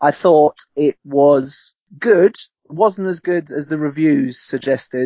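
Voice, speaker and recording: A man with an unremarkable speaking voice talks at a fairly high pitch with ordinary pitch variation. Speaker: guest film commentator. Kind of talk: casual chat, podcast banter.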